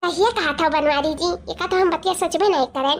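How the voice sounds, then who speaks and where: In a cartoonish character voice, a woman talks at a very fast pace, squeaky and extremely high-pitched, with ordinary pitch variation. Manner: taunting, coquettish.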